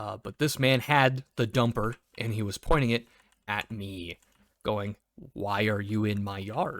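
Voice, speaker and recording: In a very clean recording with a silent background and a dry, close sound with no echo, a man with a fairly low pitch speaks at a moderate pace. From US Midwest. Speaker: cable technician and gaming storyteller. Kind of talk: casual storytelling. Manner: animated.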